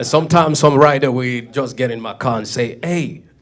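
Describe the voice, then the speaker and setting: The speaker has a French-speaking African accent and talks at a moderate pace. Noticeable background noise is present. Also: man. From Cameroon. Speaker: comedian. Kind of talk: stand-up.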